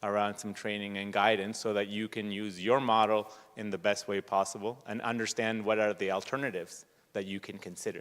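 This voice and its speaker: Using a normal speaking voice, a man talks at a moderate pace with fairly low pitch. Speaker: researcher and project panelist. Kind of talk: panel discussion.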